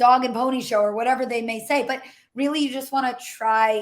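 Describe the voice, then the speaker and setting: The speaker is a woman. Her pitch is high. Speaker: career coach. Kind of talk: webinar presentation. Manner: usually fast.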